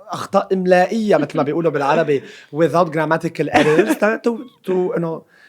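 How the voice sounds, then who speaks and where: A man's high-pitched voice with ordinary pitch variation at a fairly quick pace, over noticeable background noise. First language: Arabic. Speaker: social media personality. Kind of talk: casual chat.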